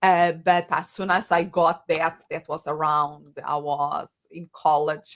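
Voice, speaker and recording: A woman speaks in a strong Portuguese accent at a fairly low pitch. Her intonation is monotone and flat. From Portugal. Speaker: coach and psychologist. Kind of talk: interview.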